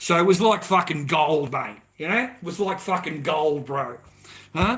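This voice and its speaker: A man with a strong Australian accent, high pitch, and lively intonation, at a fairly slow pace over noticeable background noise. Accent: broad Australian. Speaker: livestreamer. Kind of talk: casual monologue. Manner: animated.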